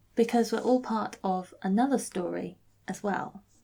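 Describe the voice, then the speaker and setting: Vocal fry runs through this woman's medium-pitched voice. She talks at a fairly slow pace with ordinary pitch variation and a dark, mellow tone. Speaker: vicar. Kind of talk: vlog-style reflective talk.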